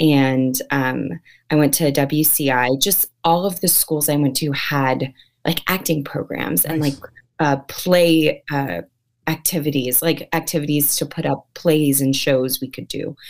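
A woman with an American accent and a very deep, low pitch talks at a fairly slow pace with ordinary pitch variation. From San Francisco Bay Area, California. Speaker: actress. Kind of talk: interview. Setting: live stream video call.

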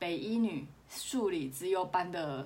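This woman has a fairly low-pitched voice and speaks with a Taiwanese accent. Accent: Taiwanese Mandarin. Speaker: podcast host. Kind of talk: casual solo podcast monologue. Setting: wearing a clip-on microphone. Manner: quiet, low volume.

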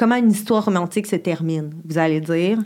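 At a moderate pace, a woman talks in an unremarkable speaking voice, medium in pitch and with ordinary pitch variation. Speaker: sexologist. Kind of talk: casual chat.

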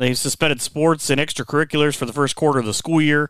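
A plain, everyday voice with an American accent and fairly even intonation comes through on a very clean recording with a silent background. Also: man. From Northwest Ohio. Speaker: podcast host. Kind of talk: interview, casual conversation.

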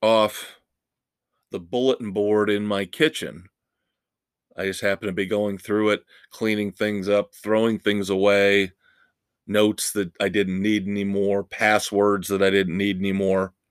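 A normal speaking voice comes through with fairly even intonation. The sound is dry and close with no echo, on a very clean recording with a silent background. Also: man, fairly low pitch for a man, moderate pace. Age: 50s. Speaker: rock music podcast host. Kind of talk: solo podcast monologue.

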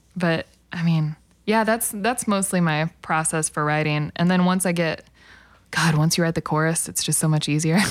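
A woman with a fairly low pitch speaks at a moderate pace in an ordinary speaking voice, with ordinary pitch variation. The recording is very clean, with a silent background. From Oklahoma (El Reno area). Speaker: singer-songwriter. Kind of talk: casual interview chat.

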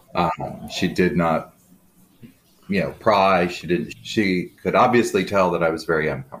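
This man has a very deep, low pitch with ordinary pitch variation and some vocal fry. He talks at a moderate pace with an American accent. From US Midwest, Aurora, Illinois. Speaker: guest sharing life story. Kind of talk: casual interview.

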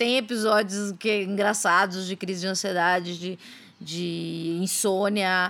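This is a woman speaking. Her pace is fairly slow. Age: 30s. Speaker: journalist and podcaster. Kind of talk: casual interview chat. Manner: hesitant, many fillers.

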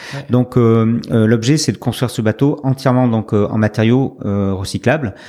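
A man speaks at a fairly slow pace with medium pitch and fairly even intonation. Noticeable background noise is present. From France, Médoc (Gironde). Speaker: skipper and business owner. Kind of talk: interview. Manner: halting, many hesitations.

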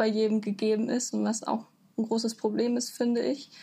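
The voice belongs to a woman. Her pitch rises and falls fairly evenly. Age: 20s. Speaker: university student. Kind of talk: interview. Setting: video call.

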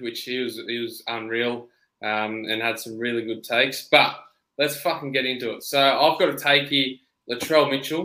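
A man's medium-pitched voice with an Australian accent, a bright, sharp tone, fairly even intonation and a moderate pace. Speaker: podcast co-host. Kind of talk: casual chat.

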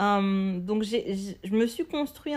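This woman's voice has a medium pitch. The background is silent and the recording very clean. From Martinique. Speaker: podcast host, entrepreneur. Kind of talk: solo podcast monologue. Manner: hesitant, many fillers.

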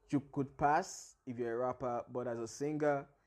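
With an ordinary speaking voice, a man talks at a moderate pace and medium pitch, with ordinary pitch variation. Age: 20s. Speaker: podcast host. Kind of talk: monologue on career advice. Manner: casual, laughing.

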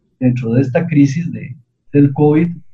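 Somewhat breathy and fairly high-pitched, a man speaks with ordinary pitch variation. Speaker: researcher. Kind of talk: radio interview.

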